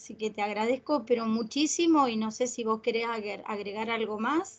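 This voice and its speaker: Speaking at a fairly slow pace, a woman talks with a Rioplatense accent. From Argentina. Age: 50s. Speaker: grief support group leader; host of a spiritual talk. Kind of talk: interview. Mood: warm, emotional. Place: home room. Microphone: video call.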